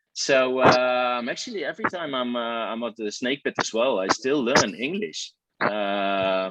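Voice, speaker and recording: A man with a Dutch accent talks at a medium pitch with ordinary pitch variation. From Netherlands, eastern village near Germany. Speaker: baseball fan guest. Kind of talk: casual chat. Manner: hesitant, many fillers.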